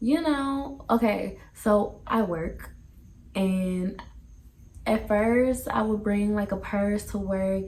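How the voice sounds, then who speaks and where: Noticeable background noise and audible room echo around a woman talking. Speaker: family vlogger. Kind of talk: casual Q&A vlog. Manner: casual, chatty.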